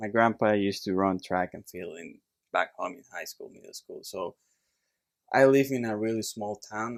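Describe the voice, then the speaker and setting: Recorded very cleanly with a silent background and a dry, close sound with no echo, a man with a Puerto Rican accent speaks at a moderate pace in a fairly low pitch. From Puerto Rico. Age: 30s. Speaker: chiropractor. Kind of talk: casual chat. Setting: studio.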